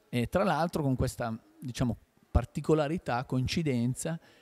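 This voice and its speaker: Here a man speaks at a medium pitch and moderate pace, his tone dark and mellow and his pitch varying in an ordinary way. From Piedmont, Italy (Ticino river bank); Piedmont, Italy. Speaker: film director. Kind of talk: interview. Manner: hesitant, with fillers. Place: hall. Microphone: handheld.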